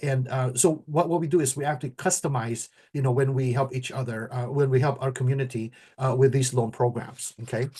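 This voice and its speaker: Over a quiet background, a man at medium pitch talks at a fairly quick pace, his somewhat breathy voice dark and mellow in tone, with fairly even intonation. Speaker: mortgage professional and show host. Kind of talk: casual talk show discussion. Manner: halting, many repetitions and fillers.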